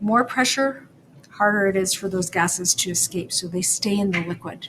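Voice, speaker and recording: A woman with a Midwestern accent. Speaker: high school chemistry teacher. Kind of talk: lecture. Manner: casual, conversational.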